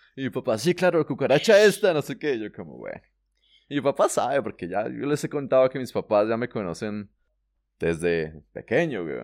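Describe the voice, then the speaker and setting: Very wide pitch swings, vocal fry and big swings in loudness come at a moderate pace in a dry, close, very clean recording with no echo and a silent background. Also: man, medium pitch for a man. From Colombia. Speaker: travel podcast co-host. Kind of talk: casual chat.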